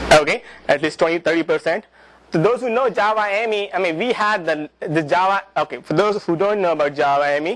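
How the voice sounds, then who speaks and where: A high-pitched man with a non-native accent at a fairly quick pace, his pitch varying in an ordinary way. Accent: non-native accent, self-described as funny. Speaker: presenter at a developer user group. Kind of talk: technical presentation. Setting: talk to a live audience with microphone. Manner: halting, many fillers and repetitions.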